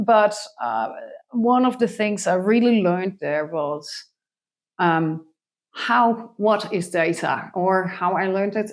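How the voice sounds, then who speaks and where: A woman with a Dutch accent, medium in pitch, fairly slow, with lively intonation. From Netherlands, Friesland. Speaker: biologist, co-founder of an education project. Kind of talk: interview. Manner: halting, many fillers.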